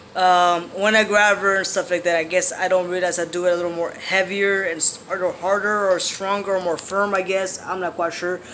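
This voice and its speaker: The voice is raised and projected, moving at a fairly quick pace in a monotone, flat intonation. Noticeable background noise is present. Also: man, high pitch for a man. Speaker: vlogger sharing transition updates. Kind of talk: casual vlog monologue. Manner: hesitant, many fillers.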